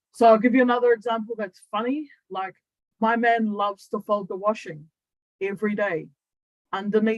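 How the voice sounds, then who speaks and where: A woman with a New Zealand accent, fairly high in pitch, at a moderate pace with ordinary pitch variation, long frequent pauses, and a dry, close sound with no echo. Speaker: human design coach. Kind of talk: online training talk. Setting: Zoom livestream to YouTube. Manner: casual, conversational.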